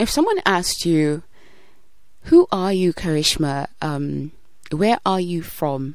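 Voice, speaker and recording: At a very slow pace, a woman talks with long, frequent pauses against noticeable background noise. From Kenya. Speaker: podcast host. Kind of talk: scripted narration.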